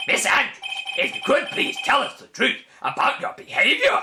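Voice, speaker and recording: In a put-on character voice, a man speaks at a moderate pace with an extremely high pitch. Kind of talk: formal courtroom speech. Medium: game stream.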